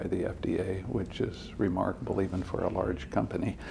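In an American accent, a man speaks with a very deep, low pitch, a dark, mellow tone and vocal fry, with audible room echo around him. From Indiana, US Midwest. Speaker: chemistry professor. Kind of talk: interview. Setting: on location at a university. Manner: hesitant, many fillers.

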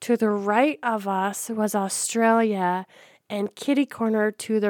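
On a very clean, dry, close recording with no echo and a silent background, a woman of medium pitch speaks very slowly with fairly even intonation. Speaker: podcast co-host and robotics team coach. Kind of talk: casual chat.

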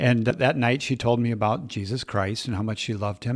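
Speaking with an American accent, a man uses an unremarkable speaking voice at medium pitch. He keeps a moderate pace with ordinary pitch variation. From Minnesota, Twin Cities. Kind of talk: interview.

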